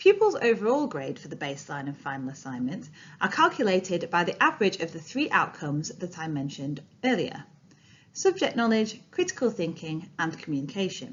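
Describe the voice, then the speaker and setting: A woman with a Yorkshire accent speaks at a fairly quick pace, her fairly low voice somewhat breathy. Both her pitch and loudness swing widely. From Yorkshire, northern England. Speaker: training presenter, former English teacher. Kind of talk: recorded training presentation. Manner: clear, formal.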